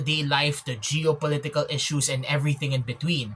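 The speaker is a man with a moderate pace. He keeps his intonation fairly even. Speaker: vlogger. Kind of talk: casual vlog commentary. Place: home room. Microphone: phone near.

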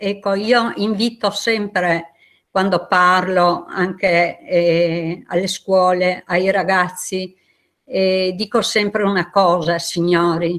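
A woman speaks at a very slow pace with very even loudness. Her intonation stays fairly even against a quiet background. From Istria. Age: 70s. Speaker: exile witness; witness. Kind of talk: testimony. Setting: video call. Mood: earnest, emotional remembrance. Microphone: video call.

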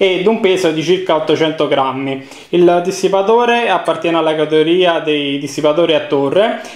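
Audible room echo surrounds a man who talks at a moderate pace with ordinary pitch variation and very even loudness. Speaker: hardware reviewer. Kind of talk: product unboxing commentary. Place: home room. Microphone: phone near.

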